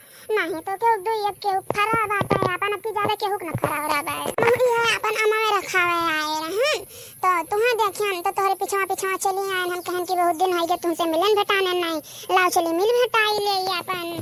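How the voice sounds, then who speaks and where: Using a cartoonish character voice, a woman speaks at an extremely high pitch and a fairly quick pace with ordinary pitch variation. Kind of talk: rustic Awadhi dialect. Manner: warm, chatty, coaxing.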